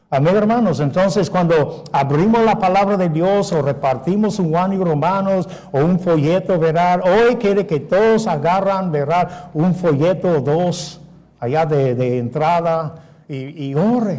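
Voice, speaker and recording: With audible room echo, the speaker talks at a fairly slow pace with ordinary pitch variation. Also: man, high pitch for a man. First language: English (speaking Spanish). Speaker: pastor. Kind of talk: sermon.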